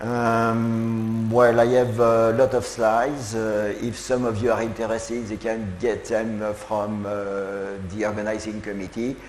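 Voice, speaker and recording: A man's medium-pitched voice with a French accent, monotone and flat, at a fairly slow pace with hardly any pauses, with audible room echo and music in the background. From France, Lyon. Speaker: professor. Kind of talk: keynote lecture. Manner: halting, many filler sounds.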